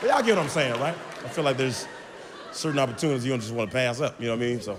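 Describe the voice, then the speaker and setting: A man's energetic, animated delivery over crowd noise in the background. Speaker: stand-up comedian. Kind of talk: stand-up comedy set.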